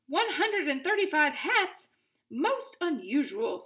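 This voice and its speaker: A woman uses a put-on character voice, squeaky and extremely high. Her pitch swings very widely, and her pace is fairly slow. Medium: read story. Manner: formal, measured.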